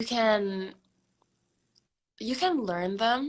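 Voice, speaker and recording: A woman speaks with an American accent in a bright, sharp tone. Her pitch varies in an ordinary way. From United States, moved from Indonesia in third grade. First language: Indonesian. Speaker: singer-songwriter. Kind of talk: interview.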